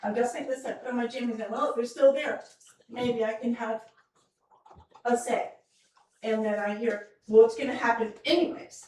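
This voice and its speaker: A woman's high-pitched voice at a moderate pace, with ordinary pitch variation and long, frequent pauses. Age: 60s. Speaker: resident speaking at public comment. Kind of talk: public comment at town council meeting. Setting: town council meeting. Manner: emotional.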